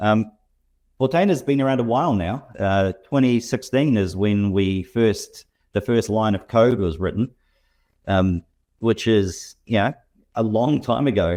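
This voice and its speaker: A man in a New Zealand accent talks at a fairly slow pace with long, frequent pauses, his pitch medium and its variation ordinary. His tone is dark and mellow, and his loudness stays very even. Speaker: software company representative. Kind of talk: interview conversation. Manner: halting, many repetitions.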